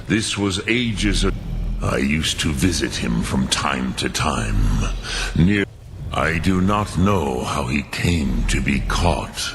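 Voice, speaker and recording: Over loud background noise, a man does a put-on character voice, very deep and low, at a fairly slow pace. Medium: machinima. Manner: slow, grave, measured.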